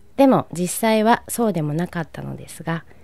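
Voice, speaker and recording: Lively intonation marks this woman's unremarkable speaking voice. She holds a moderate pace. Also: very clean recording, silent background. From Japan, Nagano. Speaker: painter. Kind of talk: scripted personal narration.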